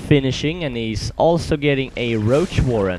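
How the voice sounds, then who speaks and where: Noticeable background noise sits behind a man speaking at a fairly slow pace. His intonation is lively. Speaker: esports commentator. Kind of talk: game commentary.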